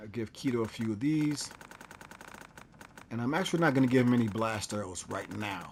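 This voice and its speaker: The speech moves at a fairly quick pace but breaks into long, frequent pauses, with noticeable background noise behind it. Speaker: gaming channel host. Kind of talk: casual gameplay commentary.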